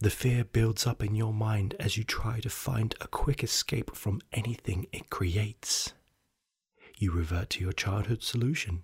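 A man speaks at a fairly slow pace with a somewhat breathy voice. His pitch is medium, with ordinary variation. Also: very clean recording, silent background. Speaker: podcast storyteller. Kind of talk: ghost story telling, scripted narration in second person. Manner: slow, hushed and suspenseful, building dread.

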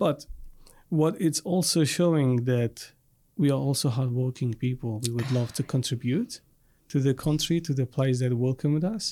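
A man talks at a medium pitch and a moderate pace, his tone dark and mellow. The recording is very clean with a silent background, and his loudness stays very even. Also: ordinary pitch variation. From Iraq. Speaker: refugee community advocate and nonprofit founder. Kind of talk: podcast interview.

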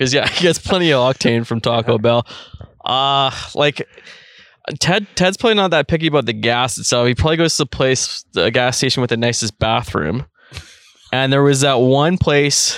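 A normal speaking voice comes through a very clean recording with a silent background, sounding dry and close with no echo, at a moderate pace and with ordinary pitch variation. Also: man, medium pitch for a man. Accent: Canadian. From Red Deer, Alberta, Canada. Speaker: podcast co-host. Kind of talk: casual chat. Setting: outdoors on a deck.

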